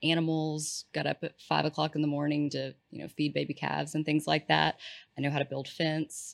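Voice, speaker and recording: A woman speaks with a Texan accent. The recording is very clean, with a silent background and a dry, close sound with no echo. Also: fairly quick pace. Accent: Texan (US Southern). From East Texas. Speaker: healthcare strategy consultant. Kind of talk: casual interview chat.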